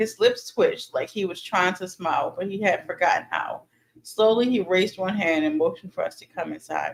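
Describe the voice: The text is delivered as plain reading aloud.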